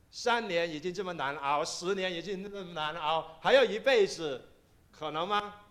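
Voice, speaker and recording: Audible room echo surrounds a man who speaks at a moderate pace in a high pitch with ordinary variation. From Kaiping, Guangdong, China. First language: Cantonese (Taishanese/Kaiping) (speaking Chinese). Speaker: pastor. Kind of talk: sermon.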